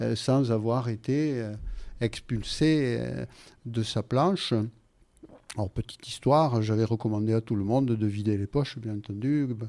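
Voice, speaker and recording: A man with a southwestern French accent, medium pitch and a dark, mellow tone, fairly slow with long, frequent pauses and ordinary pitch variation, on a very clean recording with a silent background. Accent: Gascon. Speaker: radio guest, writer and former referee. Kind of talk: radio interview. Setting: radio studio. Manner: hesitant, many fillers.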